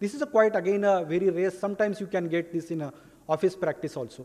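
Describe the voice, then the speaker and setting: Speaking very fast with an Indian accent, a man uses a high pitch and ordinary pitch variation over noticeable background noise. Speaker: pediatrician. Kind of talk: lecture.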